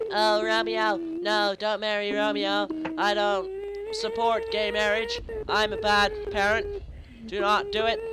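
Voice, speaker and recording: A man speaks at a fairly slow pace in a put-on character voice over loud background noise. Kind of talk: comic overacting. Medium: game stream. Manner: stern, theatrical, scolding.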